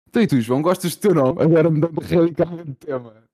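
Speaking at a very fast pace, a man with a Lisbon accent has a dark, mellow tone. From Portugal, Lisbon. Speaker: podcast co-host. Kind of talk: casual chat.

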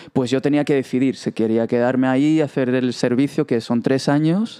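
The man speaks with fairly even intonation in a dark, mellow tone. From Israel. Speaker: podcast guest, young presenter. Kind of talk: casual interview. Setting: studio.

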